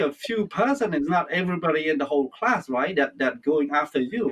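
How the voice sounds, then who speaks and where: A Cambodian accent at a moderate pace. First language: Khmer. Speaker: interviewer. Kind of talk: interview. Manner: halting.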